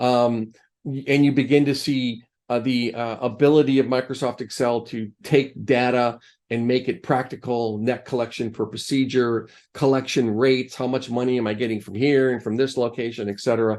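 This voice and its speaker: Against a quiet background, a man with an American accent talks at a medium pitch in a flat monotone. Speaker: Excel instructor, revenue cycle executive. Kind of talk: tutorial. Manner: fast; casual, halting with fillers.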